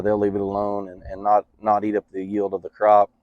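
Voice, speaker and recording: This man talks at a moderate pace with a fairly low pitch. He speaks with a West Texas accent. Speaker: farmer and product dealer. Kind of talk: interview. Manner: halting, many fillers.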